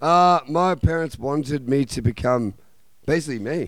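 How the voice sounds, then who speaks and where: A man speaks with an Australian accent and ordinary pitch variation. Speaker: punk band member. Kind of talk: casual radio interview. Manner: animated.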